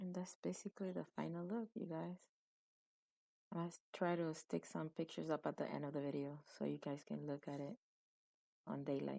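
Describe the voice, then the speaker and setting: Soft-spoken and at a moderate pace, a woman leaves long, frequent pauses. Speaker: beauty vlogger. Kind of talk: makeup tutorial. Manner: casual.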